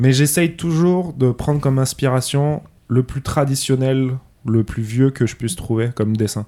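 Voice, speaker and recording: Speaking at a fairly slow pace, a man's medium-pitched voice has a dark, mellow tone and ordinary pitch variation. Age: 30s. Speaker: illustrator and graphic designer. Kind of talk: casual interview. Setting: host's living room.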